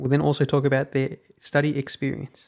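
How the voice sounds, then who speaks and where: A man with an Australian accent, fairly high in pitch, at a fairly quick pace. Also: very clean recording, silent background. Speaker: podcast host. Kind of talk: interview.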